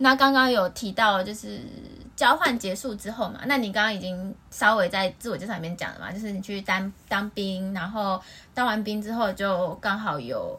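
At a moderate pace, a woman speaks at medium pitch with ordinary pitch variation in a normal speaking voice. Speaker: podcast host. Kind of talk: casual chat.

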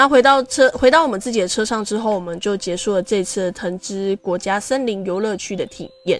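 A normal speaking voice moves at a fairly quick pace with ordinary pitch variation. There are hardly any pauses. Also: woman, medium pitch for a woman. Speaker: podcast host. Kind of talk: personal storytelling monologue. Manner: casual, many fillers.

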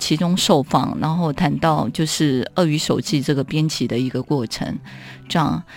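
The speaking pace is fairly slow. Music can be heard in the background. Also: woman. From Taiwan, Keelung. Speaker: author. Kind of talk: interview about her writing.

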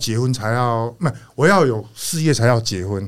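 A man with an ordinary speaking voice, lively intonation and a moderate pace, on a very clean recording with a silent background. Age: 60s. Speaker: retired factory owner. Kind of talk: casual interview chat.

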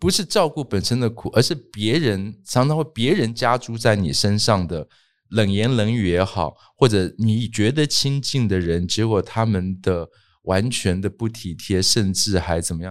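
A fairly low-pitched man at a moderate pace, with lively intonation and big swings in loudness, in a very clean recording with a silent background. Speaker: writer and professor. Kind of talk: interview testimony. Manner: hesitant with many fillers.

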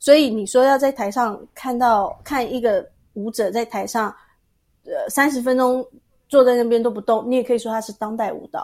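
In a Taiwanese accent, a woman talks at a moderate pace with a high pitch and fairly even intonation, though her loudness swings widely. The recording is very clean with a silent background. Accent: Taiwanese Mandarin. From Taiwan, Tainan. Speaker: dancer and massage therapist. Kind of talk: interview.

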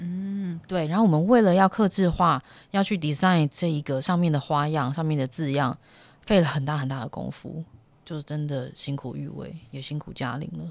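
Recorded very cleanly with a silent background, a woman talks at a moderate pace in a very deep, low pitch with ordinary pitch variation. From Taiwan. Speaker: actress and translator, podcast host. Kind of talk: casual solo talk. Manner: hesitant, many fillers.

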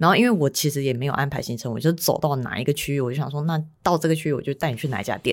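In a very clean recording with a silent background, a woman with a very deep, low pitch speaks at a very fast pace with ordinary pitch variation. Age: 30s. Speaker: podcast co-host. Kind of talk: casual chat.

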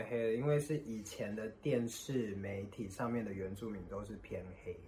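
With ordinary pitch variation, the man's voice comes out somewhat breathy. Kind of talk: casual chat.

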